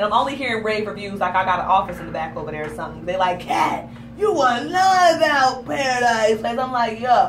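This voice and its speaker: Amid noticeable background noise and audible room echo, a woman speaks at a fairly quick pace with hardly any pauses, her animated tone carrying a fairly high pitch, very wide pitch swings, and big swings in loudness. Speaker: talk show host. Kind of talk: casual chat.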